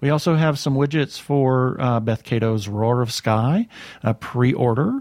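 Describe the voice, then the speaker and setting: A normal speaking voice from a man at a medium pitch, with ordinary pitch variation, a fairly slow pace and very even loudness, dry and close with no echo, against a quiet background. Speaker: podcast host. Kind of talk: casual interview chat. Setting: studio.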